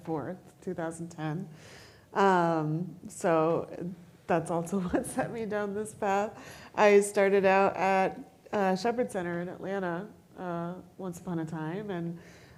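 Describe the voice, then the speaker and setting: With an American accent and a plain, everyday voice, a woman talks at a fairly slow pace and medium pitch, showing ordinary pitch variation and big swings in loudness. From US East Coast. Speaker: person with spinal cord injury, mental health counselor. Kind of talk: panel discussion.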